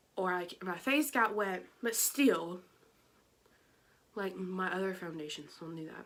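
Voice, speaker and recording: With an American accent, the speaker uses lively intonation and big swings in loudness, moving at a fairly slow pace with long, frequent pauses. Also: woman, medium pitch for a woman. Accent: Georgia accent, comes out at times. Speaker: beauty vlogger. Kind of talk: casual product review. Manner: chatty, filler-heavy.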